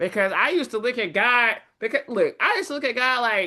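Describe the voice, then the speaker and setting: In a high pitch with a bright, sharp, animated tone, a woman talks at a fairly quick pace against a quiet background. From Dallas, Texas. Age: 30s. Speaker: trading streamer. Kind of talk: casual chat.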